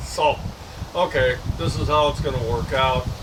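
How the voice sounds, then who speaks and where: A man at a fairly slow pace amid audible room echo and noticeable background noise. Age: 70s. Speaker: vlogger sharing health update. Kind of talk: casual personal video update. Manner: halting, many fillers.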